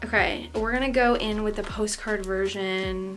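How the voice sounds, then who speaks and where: A woman with an American accent talks at a moderate pace and a fairly high pitch, keeping her intonation fairly even. Music plays in the background, and room echo is audible. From US Midwest, St. Louis. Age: 20s. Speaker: vlogger. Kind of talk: unboxing video.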